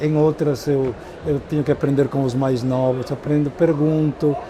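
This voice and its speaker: Over noticeable background noise, a man with a fairly high pitch talks at a fairly slow pace in a monotone, flat intonation. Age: 70s. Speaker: education professor and speaker. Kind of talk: interview. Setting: trade fair stand. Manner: halting, with repetitions.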